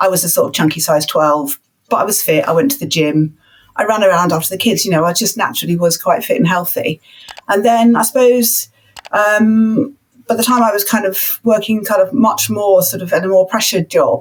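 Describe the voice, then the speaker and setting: At a fairly quick pace, a woman speaks in a somewhat breathy, medium-pitched voice with ordinary pitch variation. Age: 60s. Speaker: retired teacher. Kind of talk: podcast interview.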